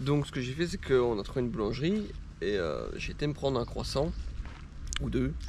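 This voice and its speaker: With a slight Belgian accent, a man talks at a fairly quick pace broken by long, frequent pauses, with audible room echo. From Belgium, Mons region. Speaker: travel vlogger. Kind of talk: casual vlog chat. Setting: outdoors in a park.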